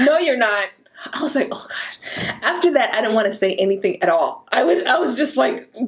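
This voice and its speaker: A woman's fairly high voice at a moderate pace, with very wide pitch swings and noticeable background noise. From Mexico. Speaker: real estate broker. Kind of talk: casual chat.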